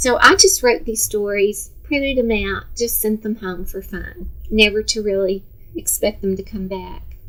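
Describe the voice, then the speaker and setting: Speaking at a moderate pace, a woman talks in an American accent. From Texas, Dallas. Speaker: retired teacher. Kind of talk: instructional talk to parents. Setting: seated on a sofa.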